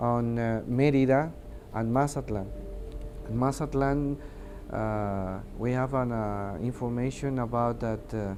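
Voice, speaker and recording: With music in the background and audible room echo, a man speaks fairly slowly at a medium pitch with fairly even intonation. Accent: Mexican. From Mexico. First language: Spanish. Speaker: air traffic controller. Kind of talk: testimony interview. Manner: halting, many hesitations.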